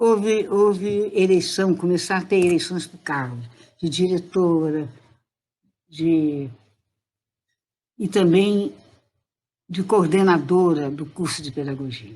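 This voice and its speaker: Very slow and broken by long, frequent pauses, a woman's dark, mellow voice sits at a fairly low pitch with ordinary pitch variation. Her loudness swings widely. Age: 80s+. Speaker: retired teacher and education professor. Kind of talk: interview answer. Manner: good-humoured.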